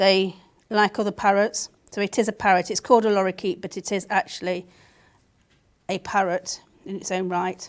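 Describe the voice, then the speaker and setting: In a British accent, a woman at a medium pitch speaks in a monotone, flat way at a moderate pace with long, frequent pauses, the sound dry and close with no echo. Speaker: art demonstrator. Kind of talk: live art tutorial. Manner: halting while concentrating; casual, chatty.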